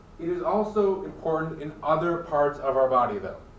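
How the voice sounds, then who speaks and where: The speech moves at a moderate pace with lively intonation, accompanied by audible room echo and light background noise. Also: man. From Michigan. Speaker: college biology instructor. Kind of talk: lecture. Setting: classroom with students. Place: classroom. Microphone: camera far.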